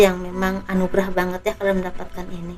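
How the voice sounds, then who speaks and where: Music plays in the background as a woman talks at a medium pitch. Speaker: tarot reader. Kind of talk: tarot reading. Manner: soft-spoken.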